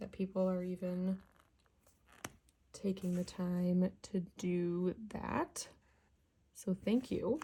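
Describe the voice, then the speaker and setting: A woman with a medium pitch and a somewhat breathy voice speaks very slowly, leaving long, frequent pauses. Her intonation is fairly even. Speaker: coloring channel creator. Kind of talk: casual chat while coloring. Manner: relaxed, laid back.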